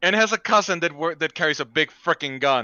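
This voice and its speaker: In a Spanish accent, the speaker talks at a moderate pace with lively intonation. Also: man. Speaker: comic artist. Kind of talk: casual chat.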